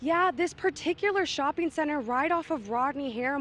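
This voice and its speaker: Someone with an American accent speaks at a fairly quick pace with ordinary pitch variation. Noticeable background noise sits behind the voice. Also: woman. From Texas. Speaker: student TV news reporter. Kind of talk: TV news report.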